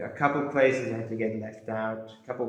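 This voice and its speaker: Audible room echo surrounds a man speaking. His pitch sits in the medium range, with fairly even intonation. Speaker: history youtuber. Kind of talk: casual monologue to camera. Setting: indoors in a room. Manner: casual, filler-heavy.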